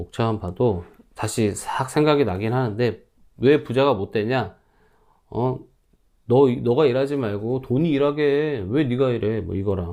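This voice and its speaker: A man's dark, mellow tone at a fairly slow pace, with ordinary pitch variation. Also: medium pitch for a man. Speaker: stock investing YouTuber, office worker. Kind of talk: casual vlog monologue.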